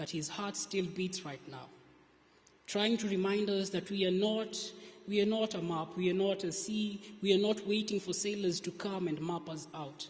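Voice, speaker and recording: A soft-spoken man with a high pitch, at a moderate pace. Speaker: spoken word poet. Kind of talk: spoken word poetry performance.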